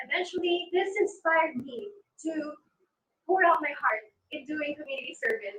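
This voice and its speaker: In a Filipino accent, the speaker moves at a moderate pace with very wide pitch swings, big swings in loudness, and long, frequent pauses. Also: woman, extremely high pitch for a woman. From Philippines, Negros Occidental. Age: 20s. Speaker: pageant contestant. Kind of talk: pageant self-introduction.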